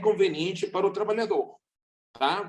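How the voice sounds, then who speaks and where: With a non-native accent, a man speaks at a high pitch using fairly even intonation. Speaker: seminar speaker on maritime labor. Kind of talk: seminar talk.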